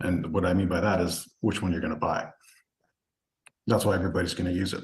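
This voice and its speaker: Talking at a very fast pace, a man with a very deep, low pitch sounds somewhat breathy and keeps a monotone, flat intonation. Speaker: real estate investing coach presenting a webinar. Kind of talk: webinar product presentation. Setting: online group call.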